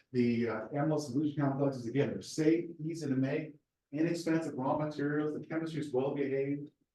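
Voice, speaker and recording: A man speaks at a fairly quick pace in a fairly high voice. Room echo is audible. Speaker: research scientist, seminar speaker. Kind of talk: lecture. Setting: university seminar with audience.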